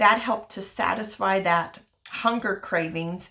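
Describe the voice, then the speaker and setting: An unremarkable speaking voice, this woman talks at a moderate pace with a medium pitch and fairly even intonation. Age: 60s. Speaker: wellness vlogger. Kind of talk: personal testimony and tips.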